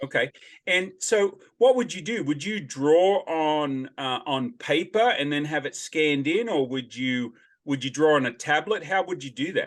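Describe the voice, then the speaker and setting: A man with an unremarkable speaking voice, fairly high in pitch, at a fairly slow pace. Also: lively intonation. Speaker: podcast host. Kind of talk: podcast interview.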